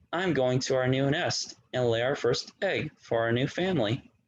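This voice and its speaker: Using a put-on character voice, a man talks at a moderate pace with a medium pitch. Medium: read story.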